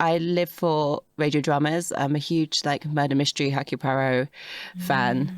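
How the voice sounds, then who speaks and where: With a London accent, a woman speaks at a moderate pace in a very deep, low pitch, with fairly even intonation and a dry, close sound with no echo. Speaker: actor. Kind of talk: casual chat.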